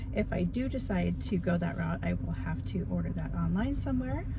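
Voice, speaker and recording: Soft-spoken and at a moderate pace, a woman talks amid noticeable background noise and audible room echo. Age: 50s. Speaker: beginner YouTuber vlogger. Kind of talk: casual vlog talk to camera.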